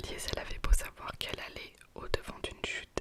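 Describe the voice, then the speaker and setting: A woman whispers at a middling speed with background noise clearly present. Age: young. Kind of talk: ASMR book reading. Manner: whispered.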